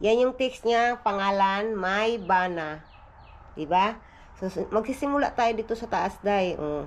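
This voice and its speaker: Her delivery moves at a very slow pace as the woman talks. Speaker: family vlogger. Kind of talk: casual vlog. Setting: outdoors on porch. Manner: soft-spoken.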